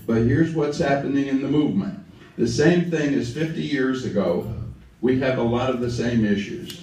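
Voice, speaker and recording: The speaker has an Alabama accent. Room echo is audible. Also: man. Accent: Southern US (Alabama). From US South, lower Alabama. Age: 70s. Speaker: civil rights activist. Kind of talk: speech to a gathering.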